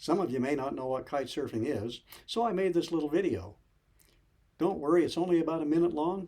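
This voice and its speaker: The man's voice has a dark, mellow tone. It sits fairly high in pitch. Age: 70s. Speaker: fitness instructor. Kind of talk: scripted narration.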